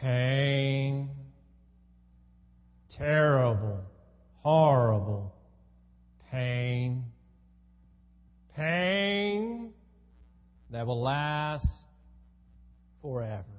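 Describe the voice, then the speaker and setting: In a put-on character voice, the speaker goes at a very slow pace with a low-to-middle pitch and long, frequent pauses. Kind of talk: exaggerated. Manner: melodramatic, grim.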